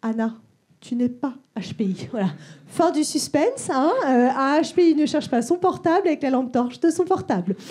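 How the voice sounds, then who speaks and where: A woman's high-pitched voice, dark and mellow in tone, with lively intonation. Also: moderate pace, big swings in loudness. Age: 30s. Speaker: stand-up comedian. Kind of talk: stand-up. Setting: stage with audience.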